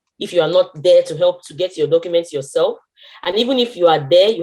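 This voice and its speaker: A woman with a Nigerian accent, a dark, mellow tone, medium pitch and ordinary pitch variation. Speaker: internationally trained physiotherapist. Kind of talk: testimony with advice in online meeting. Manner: halting, many fillers and restarts.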